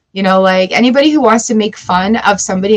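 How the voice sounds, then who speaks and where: Noticeable background noise sits under the recording. The woman talks fairly quickly. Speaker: tarot reader. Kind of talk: live-stream tarot reading. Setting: home studio live stream. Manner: animated.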